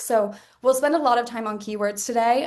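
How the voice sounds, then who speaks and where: The words come at a very fast pace with fairly even intonation. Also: woman. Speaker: marketing director. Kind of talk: webinar presentation.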